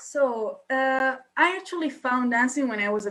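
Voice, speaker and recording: A woman with an Italian accent uses a raised, projected voice with a bright, sharp tone. Her pitch is high, with ordinary pitch variation. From Italy. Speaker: dancer and student. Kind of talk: casual interview. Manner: hesitant, many fillers.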